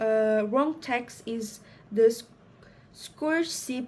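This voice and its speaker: A woman with a non-native accent talks in a fairly high pitch. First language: not English. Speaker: student presenting a project. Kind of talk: reading aloud a school presentation. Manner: halting, many fillers and restarts.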